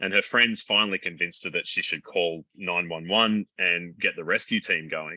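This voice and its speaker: A man speaks with an Australian accent. His pace is fairly quick. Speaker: doctor and mountain rescuer. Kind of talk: conversational interview. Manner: halting.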